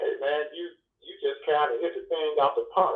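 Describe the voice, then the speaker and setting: Here a man speaks with an American accent. His pace is moderate. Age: 60s. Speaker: truck driver. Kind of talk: casual chat.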